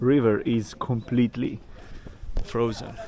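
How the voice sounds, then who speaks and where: With noticeable background noise behind him, a man mumbles at medium pitch. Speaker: travel vlogger. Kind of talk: travel vlog narration. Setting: outdoors. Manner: mumbling.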